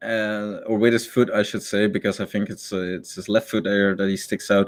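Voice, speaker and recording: With a Dutch accent, a man talks at a fairly quick pace in a fairly low pitch, on a very clean recording with a silent background. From Netherlands. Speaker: esports caster. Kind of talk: live commentary. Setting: live stream. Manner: casual, hesitant with fillers.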